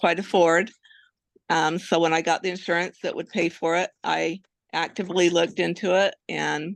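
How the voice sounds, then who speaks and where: A woman with fairly low pitch and vocal fry speaks in a monotone, flat intonation at a moderate pace, recorded dry and close with no echo against a quiet background. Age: 60s. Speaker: patient. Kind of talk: interview testimony.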